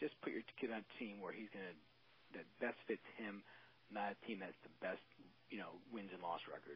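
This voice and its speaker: Using an ordinary speaking voice, a man with an American accent talks at a fairly quick pace in a fairly low pitch. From Maryland. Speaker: law enforcement officer and youth baseball coach. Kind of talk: casual interview.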